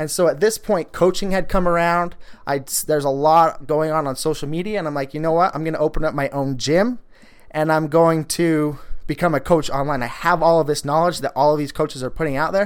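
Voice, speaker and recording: A normal speaking voice from a man, fairly high in pitch and fairly quick, with fairly even intonation, in a very clean recording against a silent background. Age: 20s. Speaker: fitness coach and podcast host. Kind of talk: casual solo monologue.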